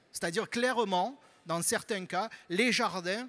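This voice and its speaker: On a very clean recording with a silent background, a man speaks with a bright, sharp tone. His high pitch shows ordinary variation. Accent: Marseille. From southern France, Marseille. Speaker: university researcher. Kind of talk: panel talk presentation. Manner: halting, many repetitions and fillers.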